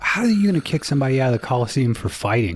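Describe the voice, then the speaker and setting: Noticeable background noise sits behind this recording. A man talks at a very fast pace with ordinary pitch variation. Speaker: podcast host. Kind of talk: comedy podcast sketch. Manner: casual, crude.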